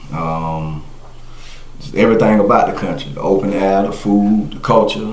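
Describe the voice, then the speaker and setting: A fairly low-pitched man talks with audible room echo and noticeable background noise. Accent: South Carolina. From South Carolina (Monetta, rural). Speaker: podcast guest. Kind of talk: casual interview.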